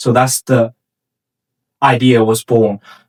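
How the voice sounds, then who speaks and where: At a very slow pace, a man with a Chinese accent speaks in a medium pitch with monotone, flat intonation, the sound dry and close with no echo. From China (Shanghai). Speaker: startup founder. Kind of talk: interview. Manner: halting, with frequent repetitions and fillers.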